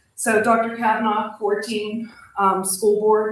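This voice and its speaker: Over noticeable background noise, a woman speaks at a fairly slow pace in a fairly high pitch. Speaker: school principal. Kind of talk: formal acceptance speech. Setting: school board meeting. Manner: loud.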